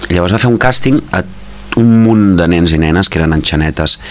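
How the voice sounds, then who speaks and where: With noticeable background noise behind him, a man talks at a moderate pace in a very deep, low pitch and lively intonation. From Catalonia (Gelida, Barcelona province). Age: 40s. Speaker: actor. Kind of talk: interview, casual chat.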